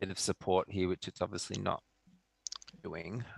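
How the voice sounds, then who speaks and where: A man with an Australian accent is heard in a dry, close sound with no echo. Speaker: forex trader. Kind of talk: casual chat. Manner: hesitant, many fillers.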